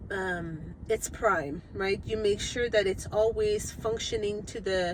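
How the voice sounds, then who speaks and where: With a non-native accent, a woman talks at medium pitch with fairly even intonation while the room's echo can be heard. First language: not English. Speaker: vlogger. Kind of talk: casual vlog monologue. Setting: on the way to the gym. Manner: many fillers and hesitations.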